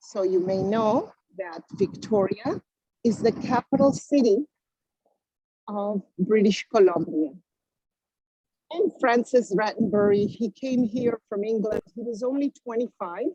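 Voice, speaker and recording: In a Spanish accent, a somewhat breathy voice with a dark, mellow tone speaks fairly slowly with long, frequent pauses, the sound dry and close with no echo. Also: woman, fairly high pitch for a woman, ordinary pitch variation. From Uruguay, then Israel, then Canada. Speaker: virtual tour guide. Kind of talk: live guided tour on video call. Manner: animated.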